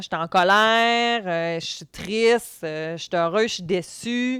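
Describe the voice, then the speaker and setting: Recorded very cleanly against a silent background, the sound is dry and close with no echo. A woman speaks in a Quebec accent at a medium pitch with ordinary variation. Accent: Québécois French. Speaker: podcast host, former youth protection worker. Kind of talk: educational podcast talk. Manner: loud; intense, animated.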